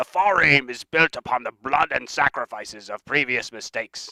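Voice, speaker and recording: The voice is a put-on character. The man pitches it fairly high. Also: moderate pace. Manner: funny, lecturing.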